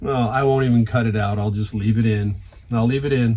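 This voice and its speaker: A man with an American accent speaks somewhat breathily at a moderate pace, with medium pitch and fairly even intonation. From San Francisco Bay Area, San Jose. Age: 60s. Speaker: reseller YouTuber. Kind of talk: casual vlog talk. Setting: garage. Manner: conversational, with frequent fillers.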